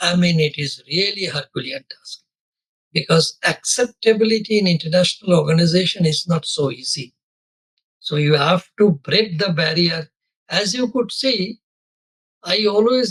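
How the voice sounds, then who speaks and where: In a Bengali accent, a man with a high pitch talks at a moderate pace with ordinary pitch variation, the sound dry and close with no echo. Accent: Bengali Indian English, unchanged. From India, Bengal. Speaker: corporate lawyer. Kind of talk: interview. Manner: hesitant fillers.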